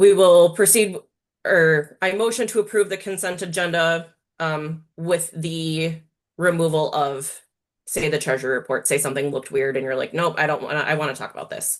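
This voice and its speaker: A woman with a plain, everyday voice, fairly low pitch, moderate pace and ordinary pitch variation. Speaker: webinar presenter. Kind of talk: Q&A answers; webinar presentation.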